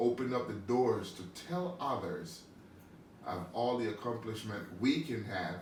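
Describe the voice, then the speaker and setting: Against noticeable background noise and audible room echo, a man speaks at a fairly slow pace with lively intonation. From Panama. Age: 60s. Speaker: visually impaired athlete and musician. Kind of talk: interview. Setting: studio.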